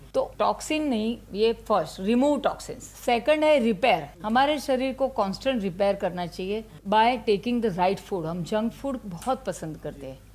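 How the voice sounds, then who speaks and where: A woman's fairly high voice with lively intonation and hardly any pauses, over noticeable background noise. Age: 60s. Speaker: ayurveda doctor. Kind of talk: interview. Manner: conversational, Hindi-English code-mixing.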